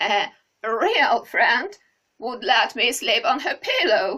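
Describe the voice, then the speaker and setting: A woman does a put-on character voice at high pitch and a very slow pace. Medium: read story.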